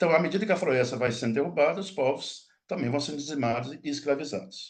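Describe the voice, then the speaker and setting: Ordinary pitch variation in a man's fairly high voice, moving at a fairly quick pace. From Minas Gerais, Brazil (Mucuri Valley). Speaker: linguistics professor. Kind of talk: lecture. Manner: fast; halting, many false starts.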